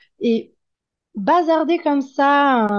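A woman's voice rises and falls with lively intonation against a quiet background. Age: 30s. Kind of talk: testimony. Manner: halting.

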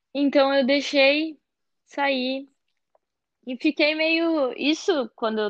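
In a high pitch, a woman speaks at a very slow pace with long, frequent pauses, the sound dry and close with no echo. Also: ordinary pitch variation. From southern Brazil, Porto Alegre. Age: young. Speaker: chef. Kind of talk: casual interview.

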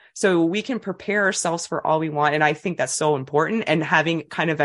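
The speaker has a Canadian Maritime accent and a fairly quick pace. The background is quiet. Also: woman. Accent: Canadian Maritimes. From New Brunswick, Canada. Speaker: childbirth educator. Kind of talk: interview.

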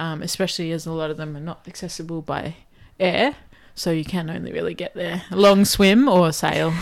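On a very clean recording with a silent background, a woman with a normal speaking voice talks fairly quickly at a fairly low pitch with fairly even intonation. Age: 30s. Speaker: outdoor adventurer. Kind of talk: casual chat.

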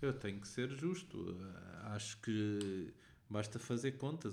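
Audible room echo surrounds a man with a European Portuguese accent who speaks at a very slow pace in a fairly low pitch. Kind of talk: casual chat.

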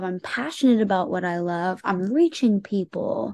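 With an American accent, a woman speaks in an ordinary speaking voice at a medium pitch. She talks fairly slowly with lively intonation against a quiet background. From Indiana (Indianapolis). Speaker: pop singer-songwriter. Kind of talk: interview.

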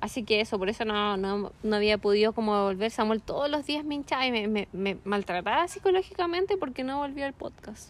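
A woman with a Chilean accent and a fairly high pitch speaks at a fairly quick pace with lively intonation and hardly any pauses. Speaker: podcast co-host. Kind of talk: casual chat. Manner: animated.

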